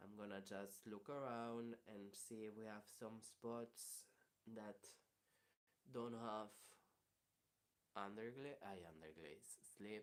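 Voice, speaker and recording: Speaking at a very slow pace with long, frequent pauses, a man with a Spanish accent uses a fairly low pitch and fairly even intonation. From Spain. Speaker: ceramicist. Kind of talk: live tutorial. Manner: halting.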